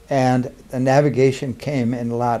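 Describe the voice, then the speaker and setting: Medium in pitch, this man's voice has a dark, mellow tone. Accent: Upper Midwest. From Minnesota. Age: 80s+. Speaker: war veteran. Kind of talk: oral history interview. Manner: halting.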